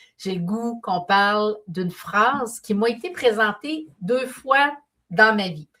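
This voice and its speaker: Her pitch is fairly high and her tone bright and sharp. The woman speaks at a very slow pace with lively intonation. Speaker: painter and business mentor. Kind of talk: live stream talk.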